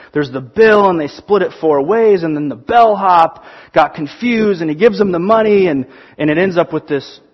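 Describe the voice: What's heard here is plain reading aloud.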